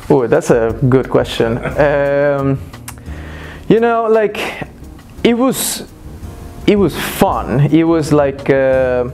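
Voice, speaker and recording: Over noticeable background noise, a man speaks at a very slow pace with long, frequent pauses, lively intonation, very even loudness and a fairly high pitch. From Mexico, Cancun. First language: Spanish. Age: 20s. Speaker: former drug user. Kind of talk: interview testimony. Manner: hesitant, many fillers.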